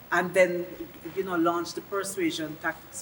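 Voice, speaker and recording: The voice moves through very wide pitch swings over noticeable background noise. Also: woman. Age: 60s. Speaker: interviewee. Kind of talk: interview.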